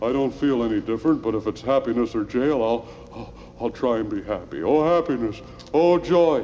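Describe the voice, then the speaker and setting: A man's put-on character voice at a medium pitch and a fairly quick pace, over light background noise. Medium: old radio play. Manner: mournful, gloomy.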